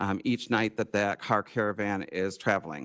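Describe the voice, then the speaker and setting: Set against a quiet background, the voice has a dry, close sound with no echo and an American accent. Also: man. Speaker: tourism presenter. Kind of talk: presentation to county board. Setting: county board meeting room. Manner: fast.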